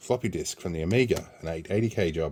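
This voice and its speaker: In an Australian accent, a man with a very deep, low pitch speaks in a relaxed tone on a very clean recording with a silent background. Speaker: repair youtuber. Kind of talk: casual vlog unboxing. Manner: relaxed with frequent fillers.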